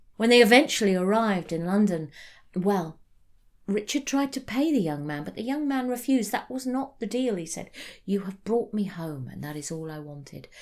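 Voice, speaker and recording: A woman with a British accent speaks at a moderate pace in a medium pitch, her tone warm and her pitch swinging very widely. Her loudness also rises and falls a great deal, and the recording is very clean with a silent background. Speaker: storyteller. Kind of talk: ghost story telling, spoken storytelling of a folk tale. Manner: warm, sincere and earnest, storyteller's cadence.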